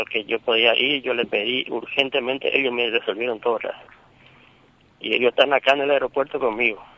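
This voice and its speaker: Intonation stays monotone and flat while the words come at a fairly quick pace. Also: man. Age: 50s. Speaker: father of a wounded police officer. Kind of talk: phone interview. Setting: phone call from airport. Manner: halting.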